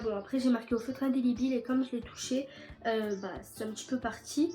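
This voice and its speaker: Music plays in the background as a woman speaks at a fairly quick pace. Her high pitch stays monotone and flat. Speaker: DIY youtuber. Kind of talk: tutorial. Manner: casual, hesitant with many fillers.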